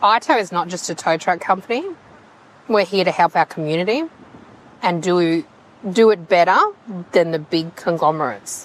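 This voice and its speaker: A woman talks with an Australian accent, leaving long, frequent pauses. Noticeable background noise runs underneath. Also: fairly low pitch for a woman, ordinary pitch variation, moderate pace. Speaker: towing business owner. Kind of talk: interview. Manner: loud.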